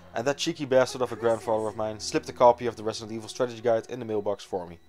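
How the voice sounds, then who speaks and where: Over music in the background, a man speaks very fast at medium pitch. His loudness swings widely while his intonation stays fairly even. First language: not English. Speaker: game reviewer. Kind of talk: scripted narration.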